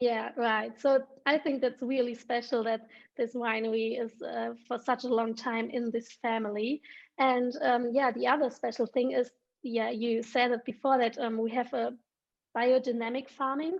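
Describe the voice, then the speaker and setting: A woman with a German accent speaks in a high pitch at a moderate pace. Her intonation is monotone and flat. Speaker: wine ambassador and schoolteacher. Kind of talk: virtual wine tasting chat. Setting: video call. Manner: halting, searching for words.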